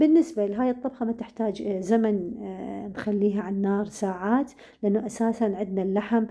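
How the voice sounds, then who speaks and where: A woman with an Iraqi accent speaks in a dark, mellow tone against a quiet background. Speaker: cooking channel host. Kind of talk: cooking tutorial. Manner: halting, many fillers.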